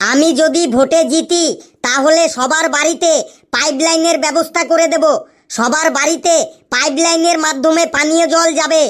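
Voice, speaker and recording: A cartoonish character voice sits at a high pitch. It moves at a moderate pace. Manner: earnest, repetitive.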